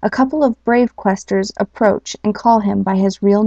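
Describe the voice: The clip consists of plain reading aloud.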